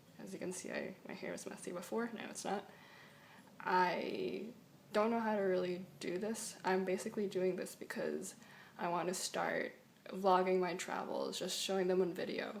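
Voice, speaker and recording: In a room with audible echo, a woman with an American accent speaks at a moderate pace. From New York City. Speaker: student vlogger. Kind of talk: casual vlog. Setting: home, talking to camera. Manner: halting; soft-spoken.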